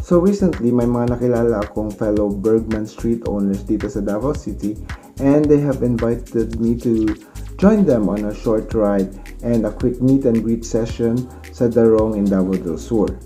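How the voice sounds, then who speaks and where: Faint music sits in the background while a man speaks at a moderate pace. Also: ordinary pitch variation. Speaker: motovlogger. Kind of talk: casual vlog chat. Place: home room. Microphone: phone near.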